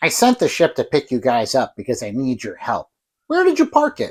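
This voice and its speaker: Putting on a character voice, a man talks at a fairly quick pace in a very clean recording with a silent background. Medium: short film.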